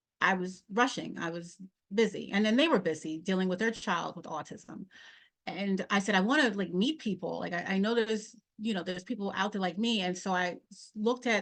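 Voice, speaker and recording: At a moderate pace, a woman speaks in a plain, everyday voice of medium pitch with ordinary pitch variation. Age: 40s. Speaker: podcast host and mental health professional. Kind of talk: interview answer.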